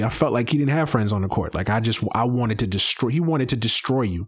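Medium-pitched man with an American accent. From US East Coast. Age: 30s. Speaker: sports podcast host. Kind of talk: solo podcast monologue. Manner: halting, many fillers and repetitions.

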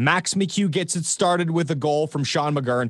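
Against a quiet background, a man with a Canadian accent uses a normal speaking voice, fairly high in pitch, with lively intonation. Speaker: podcast host. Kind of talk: podcast banter about hockey.

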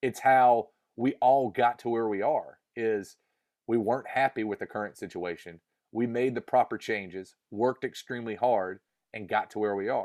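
A man with a Southern US accent, moderate pace and ordinary pitch variation, in a dry, close sound with no echo. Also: medium pitch for a man. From US South, North Carolina. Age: 30s. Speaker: musician. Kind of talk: interview.

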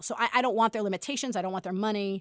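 Lively intonation and an American accent come through on a very clean recording with a silent background and a dry, close sound with no echo. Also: woman. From US Northeast, Brooklyn. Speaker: professor. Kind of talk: interview.

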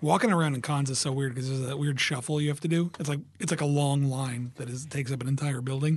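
A man's somewhat breathy, fairly high voice at a very fast pace, fairly even in intonation, with hardly any pauses. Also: quiet background. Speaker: cartoonist. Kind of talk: casual interview.

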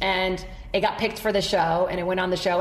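Some room echo can be heard around a woman whose voice sits fairly low. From Brazil. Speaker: comedian and TV host. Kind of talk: casual chat.

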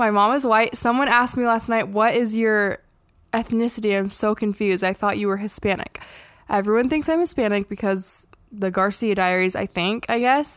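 A woman with a plain, everyday voice speaks at a moderate pace. Her pitch is fairly high, with ordinary variation. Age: 20s. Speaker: podcast co-host. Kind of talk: casual chat.

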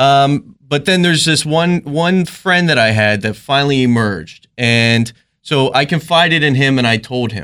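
Using a Maryland accent, a man talks at a moderate pace in a fairly high voice with a bright, sharp tone and lively intonation. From rural Maryland. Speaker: police officer.

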